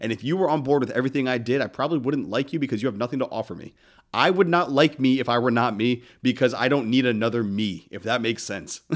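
Recorded very clean over a silent background, a man with an American accent talks at a very fast pace and medium pitch, with ordinary pitch variation. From northern US. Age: 30s. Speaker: podcast host. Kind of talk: motivational monologue. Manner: casual.

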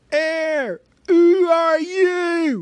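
An extremely high-pitched, squeaky put-on character voice.

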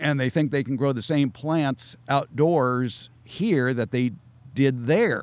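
Here a man speaks very slowly with an American accent. His pitch is fairly high, with ordinary variation. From Southern California. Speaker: gardening expert and radio host. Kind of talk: interview chat. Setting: outdoors at garden center. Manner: wry, humorous.

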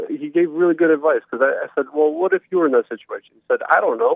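A man talks at a very fast pace. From Romania, moved to US as child. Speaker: caller. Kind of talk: casual chat. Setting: phone call. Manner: halting.

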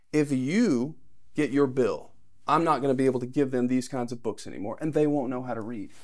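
In a normal speaking voice, a man talks at a fairly quick pace with a medium pitch and fairly even intonation. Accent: American. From Texas. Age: young. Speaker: political candidate. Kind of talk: interview.

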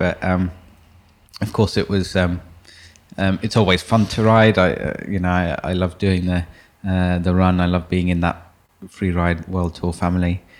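The man's voice is very deep and low, with monotone, flat intonation. He leaves long, frequent pauses. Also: moderate pace. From London, England. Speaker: professional snowboarder. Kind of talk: interview. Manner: hesitant.

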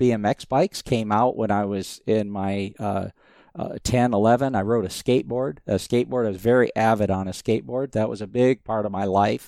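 In a very clean recording with a silent background, a man with an American accent speaks at a fairly low pitch, with ordinary pitch variation and a dark, mellow tone. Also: dry, close sound with no echo. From US Southwest, Phoenix, Arizona. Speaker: motorsport engineer and business owner. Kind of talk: interview.

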